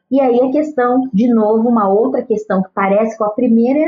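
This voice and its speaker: The talking comes at a fairly slow pace. Background music can be heard. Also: woman. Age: 50s. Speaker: children's author and educator. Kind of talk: interview.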